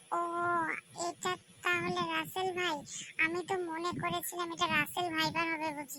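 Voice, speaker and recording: The voice is a cartoonish character voice with an extremely high pitch. It moves at a moderate pace. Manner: excitable, questioning.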